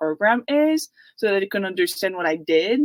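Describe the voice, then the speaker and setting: A woman with a Quebec accent and medium pitch speaks at a moderate pace, her voice dry and close with no echo on a very clean recording with a silent background. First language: French. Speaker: university student. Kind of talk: panel Q&A answer. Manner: hesitant, many fillers.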